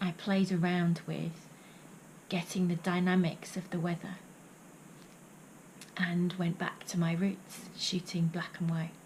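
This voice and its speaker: Here a woman speaks at a fairly low pitch with monotone, flat intonation. Her pace is fairly slow, with long, frequent pauses. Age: 50s. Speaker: poet and vlogger. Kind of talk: reading aloud; vlog monologue.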